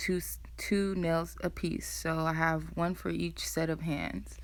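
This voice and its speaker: Very slow, soft-spoken speech from a woman. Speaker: nail tech vlogger. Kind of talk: tutorial voiceover. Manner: casual.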